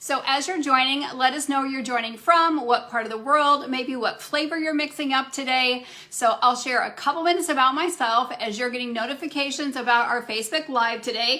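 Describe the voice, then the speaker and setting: A woman talks in a raised, projected voice at a high pitch and a fairly quick pace, with hardly any pauses. Her intonation is fairly even. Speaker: functional medicine practitioner. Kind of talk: live Q&A talk. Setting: Facebook live stream. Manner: fast.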